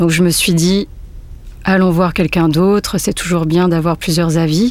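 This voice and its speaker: This woman's voice sits fairly low. Her intonation is monotone and flat. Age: 30s. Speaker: photographer. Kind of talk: testimony. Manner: halting.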